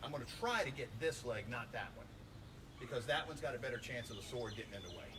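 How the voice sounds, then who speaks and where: A man talks at a very fast pace with audible room echo. Noticeable background noise runs underneath. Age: 50s. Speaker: martial arts instructor. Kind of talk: tutorial. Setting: outdoors.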